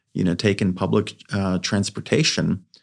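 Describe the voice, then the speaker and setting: Here a man talks at a fairly low pitch. The recording is very clean, with a silent background. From Greece, then Philadelphia and Montreal. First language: Greek. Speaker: tech company founder. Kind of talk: podcast interview. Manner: many fillers and repetitions.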